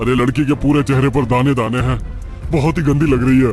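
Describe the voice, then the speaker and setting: A cartoonish character voice moves at a fairly quick pace with very even loudness, clear music playing in the background. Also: man, medium pitch for a man. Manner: impatient, irritable.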